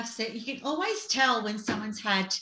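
Speaking at a moderate pace, a woman has an unremarkable speaking voice with a fairly high pitch and ordinary pitch variation. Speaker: podcast host. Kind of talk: interview.

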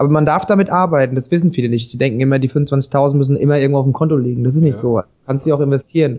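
Very fast speech comes from a man with a fairly high pitch, a dark, mellow tone and ordinary pitch variation. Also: very even loudness. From Hesse, Vogelsbergkreis. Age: 30s. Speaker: spirits company founder. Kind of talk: casual interview. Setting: Skype call.

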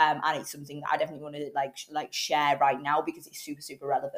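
Talking very fast, a woman with a British accent shows ordinary pitch variation. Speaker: podcast host. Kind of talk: casual podcast monologue. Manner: hesitant, many fillers.

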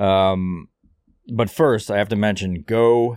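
With ordinary pitch variation, a man speaks in a plain, everyday voice at a fairly low pitch. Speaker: podcast host. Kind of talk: casual banter.

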